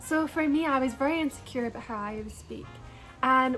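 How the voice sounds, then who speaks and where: High-pitched woman's voice with fairly even intonation at a fairly quick pace, music in the background. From Scotland, near Glasgow. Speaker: YouTuber. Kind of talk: casual storytime vlog.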